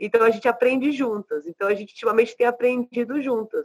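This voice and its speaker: The sound is dry and close, without any echo. A woman talks at a fairly high pitch. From Brazil. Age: 40s. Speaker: rapper. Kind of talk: casual interview.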